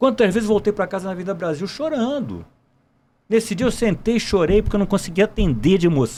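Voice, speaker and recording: A man's voice is high-pitched with a dark, mellow tone. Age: 60s. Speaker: military police gynecologist, retired colonel. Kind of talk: podcast interview.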